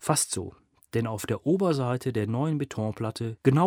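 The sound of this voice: An unforced reading voice against a quiet background.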